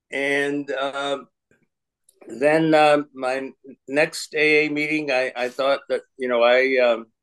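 A man speaks slowly at a medium pitch, with little pitch movement. His tone is clear and smooth, and fairly bright.

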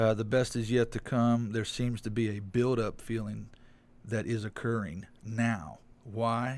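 The man has an unremarkable speaking voice at medium pitch. He goes at a fairly slow pace with fairly even intonation. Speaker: guest. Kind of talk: casual chat.

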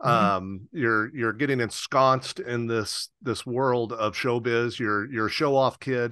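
Against a quiet background, a man with an unremarkable speaking voice talks at a fairly slow pace in a medium pitch with fairly even intonation. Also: hardly any pauses. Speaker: podcast host. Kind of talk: interview, scripted intro.

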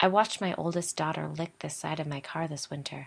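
A woman's very deep, low voice at a fairly quick pace, on a very clean recording with a silent background. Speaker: podcast host. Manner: storytelling, conversational.

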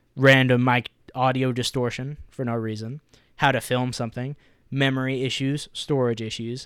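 Over a very clean recording with a silent background, a man at a medium pitch speaks at a fairly quick pace in a monotone, flat way. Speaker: podcast host. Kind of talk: casual chat. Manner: casual, profane.

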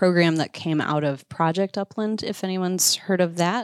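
In a normal speaking voice, a woman with an American accent speaks at a fairly low pitch with fairly even intonation, the sound dry and close with no echo in a very clean recording with a silent background. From Iowa. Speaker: conservation communicator and bird hunter. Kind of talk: casual interview chat.

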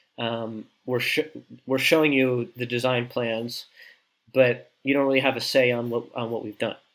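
A man with a New Jersey accent speaks at a moderate pace in a medium pitch, his intonation monotone and flat. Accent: New Jersey American. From US Northeast, New Jersey. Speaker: co-living design consultant. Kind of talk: interview conversation. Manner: halting.

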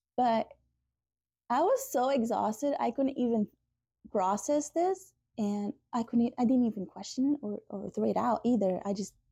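This woman has a fairly high, somewhat breathy voice with a dark, mellow tone and lively intonation, heard in a dry, close sound with no echo. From Portugal. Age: 30s. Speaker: tsunami survivor. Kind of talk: testimony. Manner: halting.

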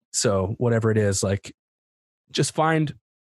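On a very clean recording with a silent background, a man speaks in a dark, mellow tone. His voice is somewhat breathy. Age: 30s. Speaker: rapper and poet. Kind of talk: casual chat.

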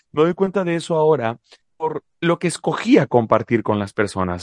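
The sound is dry and close with no echo as this man speaks at a moderate pace. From Mexico, La Paz, Baja California Sur. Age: 30s. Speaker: podcast co-host, public speaker. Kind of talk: podcast conversation. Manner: repeats words when starting sentences.

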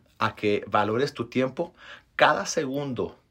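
A man talks, his pitch varying in an ordinary way. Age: 30s. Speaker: podcast host, motivational speaker. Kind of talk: motivational monologue. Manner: animated.

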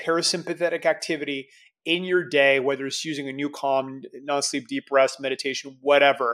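In a plain, everyday voice, a man talks at a moderate pace with fairly even intonation on a very clean recording with a silent background. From Canada. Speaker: entrepreneur and strength coach. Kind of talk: casual interview.

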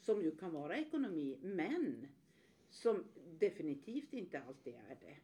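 A woman with a dark, mellow tone and fairly low pitch speaks at a fairly slow pace, her pitch swinging very widely. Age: 60s. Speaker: podcast co-host, workplace ageing consultant. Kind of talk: casual podcast discussion.

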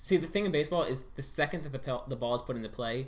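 Very fast talk from a man with an American accent, medium pitch and ordinary pitch variation. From Pittsburgh, US. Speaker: podcast guest. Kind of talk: casual chat.

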